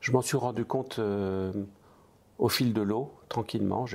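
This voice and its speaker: The man speaks at a moderate pace with a medium pitch. His pitch variation is ordinary. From eastern France. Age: 60s. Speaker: restaurant franchise entrepreneur. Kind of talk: interview.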